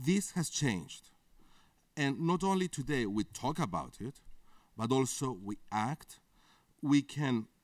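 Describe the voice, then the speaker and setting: A man's medium-pitched voice with a Greek accent, fairly slow pace and lively intonation. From Greece. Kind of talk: conference interview.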